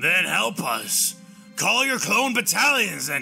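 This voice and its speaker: A man puts on a raspy, high-pitched character voice and speaks at a fairly slow pace over clear background music. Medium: read story. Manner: blunt, calm, probing.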